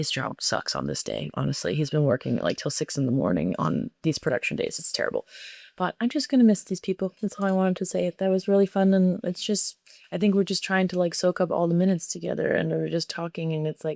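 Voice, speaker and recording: The recording has a dry, close sound with no echo. A woman speaks at a very fast pace. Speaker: vlogger, cruise ship performer. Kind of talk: casual vlog.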